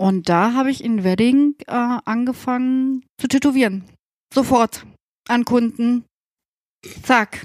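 A woman speaks at a fairly high pitch and a very slow pace, with fairly even intonation. The sound is dry and close with no echo. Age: 40s. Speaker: tattoo artist and studio owner. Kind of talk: casual chat.

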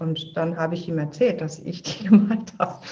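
A somewhat breathy woman speaks at a fairly low pitch and a moderate pace, with ordinary pitch variation. Audible room echo surrounds her voice. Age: 50s. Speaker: filmmaker and podcaster. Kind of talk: interview.

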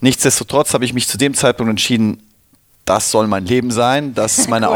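An ordinary speaking voice, a man at medium pitch with ordinary pitch variation. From Cologne, Germany. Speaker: venture capital investor. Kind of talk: interview. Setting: studio.

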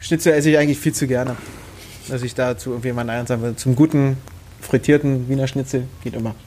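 A man with a Berlin accent, medium in pitch, at a very fast pace. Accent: Berlin dialect, grown stronger over time. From Brandenburg, Germany. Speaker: professional darts player. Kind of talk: casual chat.

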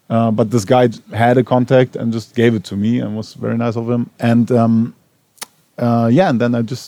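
This voice has a dark, mellow tone and a German accent, with fairly even intonation. The sound is dry and close with no echo. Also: man. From Germany, Berlin. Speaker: TV showrunner. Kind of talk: on-stage panel interview. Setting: cinema stage with audience. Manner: halting, many fillers.

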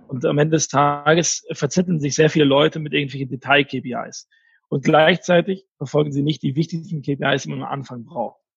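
In a dry, close sound with no echo, a somewhat breathy man speaks at a moderate pace with a fairly high pitch and fairly even intonation. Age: 30s. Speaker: marketing executive. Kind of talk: interview.

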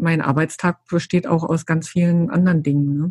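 A woman with a very deep, low pitch and a somewhat breathy voice, at a moderate pace with fairly even intonation. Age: 50s. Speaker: yarn company employee. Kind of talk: casual interview chat.

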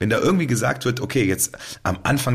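A somewhat breathy man talks at a very fast pace. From Cologne, Germany. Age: 40s. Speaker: band member and podcast host. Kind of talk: casual chat. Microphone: new high-quality microphone.

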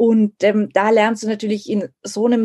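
A woman's medium-pitched voice with a dark, mellow tone comes through with a dry, close sound and no echo. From Munich, Germany. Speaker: editor-in-chief. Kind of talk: interview.

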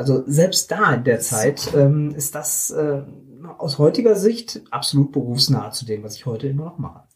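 Somewhat breathy and fairly high in pitch, a man talks at a moderate pace with big swings in loudness. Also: lively intonation. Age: 50s. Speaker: self-employed publishing technology consultant. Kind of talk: interview. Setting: recorded on a hiking trip.

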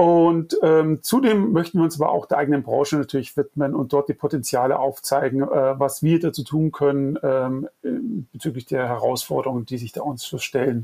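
A man's fairly high-pitched voice in a dark, mellow tone, at a moderate pace with ordinary pitch variation. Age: 40s. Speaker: design agency owner and climate activist. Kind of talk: interview. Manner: hesitant with frequent fillers.

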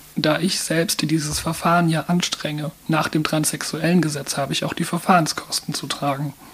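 A woman with a very deep, low pitch speaks in a flat monotone at a moderate pace, with hardly any pauses and noticeable background noise. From Mannheim, Germany. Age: 30s. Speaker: transgender counselor and volunteer. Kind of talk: interview. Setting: studio.

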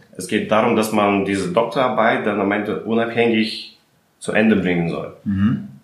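In a Russian accent, a man with a fairly low pitch speaks at a moderate pace with fairly even intonation, and room echo is audible. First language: Russian (speaking German). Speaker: chemist and company founder. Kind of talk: interview.

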